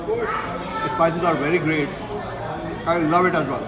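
Loud background noise surrounds a man as he talks. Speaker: food reviewer. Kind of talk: casual food review vlog. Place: cafe.

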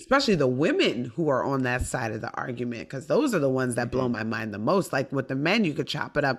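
Against a quiet background, a woman with a very deep, low pitch talks very fast in an animated tone with ordinary pitch variation. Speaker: stand-up comedian; podcast guest, comedian. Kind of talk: casual chat. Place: home room.

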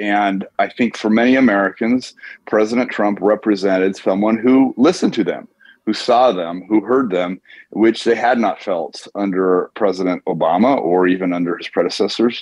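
Here is a man with a normal speaking voice and a fairly low pitch. He talks at a moderate pace with ordinary pitch variation. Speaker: author and investor. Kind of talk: interview.

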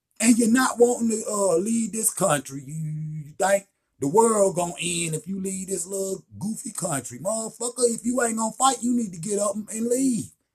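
The man's voice is high-pitched with ordinary pitch variation. He talks at a moderate pace.

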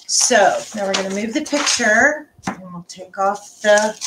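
Over loud background noise, a woman speaks with ordinary pitch variation and big swings in loudness. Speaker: art instructor. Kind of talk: tutorial. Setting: home live stream. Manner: casual, halting with fillers. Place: home room. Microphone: webcam.

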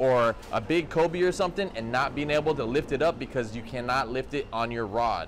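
A man's speech shows ordinary pitch variation, with light background noise behind it. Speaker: fishing channel host. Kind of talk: tutorial. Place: shop. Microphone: phone near.

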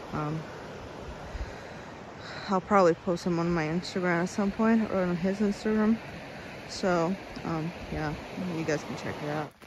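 A woman at a moderate pace, long and frequent pauses, fairly even intonation, a dry sound with no echo, and noticeable background noise. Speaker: travel vlogger. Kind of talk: casual vlog chat. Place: waterside. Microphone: phone near.

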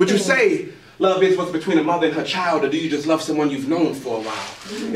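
Amid light background noise and audible room echo, a man talks at a very fast pace. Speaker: spoken word poet. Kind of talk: spoken word poetry performance. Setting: live open mic venue. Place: stage. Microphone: camera far.

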